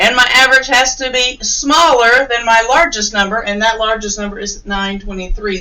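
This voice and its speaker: A woman with a fairly high voice talks at a moderate speed while noticeable noise is audible in the background. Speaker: teacher. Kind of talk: tutorial.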